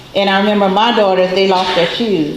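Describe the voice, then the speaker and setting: A woman of medium pitch with audible room echo and noticeable background noise. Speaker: relative of the deceased. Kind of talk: memorial tribute. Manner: loud.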